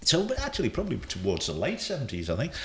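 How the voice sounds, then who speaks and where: This man speaks with vocal fry. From England. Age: 60s. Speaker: football technical director, commentator and soul DJ. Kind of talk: casual interview chat.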